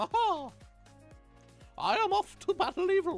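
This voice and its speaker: A female-sounding voice performs a put-on character at an extremely high pitch and a moderate pace. Music plays in the background. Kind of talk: character voice during livestream. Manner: heroic, boastful.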